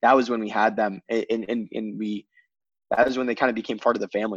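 At a very fast pace, a man with a Midwestern American accent talks at medium pitch, the sound dry and close with no echo. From Michigan. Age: 20s. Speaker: fashion brand co-founder. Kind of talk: casual interview. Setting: video call.

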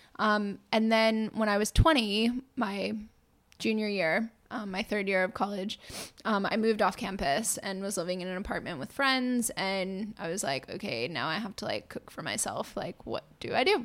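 This woman has an ordinary speaking voice, medium in pitch with ordinary variation, delivered at a moderate pace in an American accent. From US Northeast, Massachusetts (near Boston). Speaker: plant-based chef. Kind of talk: casual chat. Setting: home studio.

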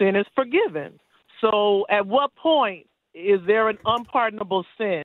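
At a very slow pace, a woman speaks with lively intonation and a fairly high pitch. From US, Florida. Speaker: caller. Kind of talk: call-in question. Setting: phone call. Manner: excitable.

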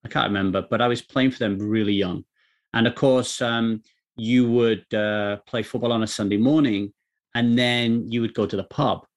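A man's medium-pitched voice with a Welsh accent, moderate pace and fairly even intonation, on a very clean recording with a silent background. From South Wales. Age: 40s. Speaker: poker coach. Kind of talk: casual chat.

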